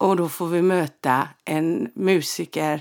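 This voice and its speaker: The recording is very clean, with a silent background. A woman's voice is heard. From Sweden, Halland (Frillesås). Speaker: podcast host and medium. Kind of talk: casual storytelling monologue.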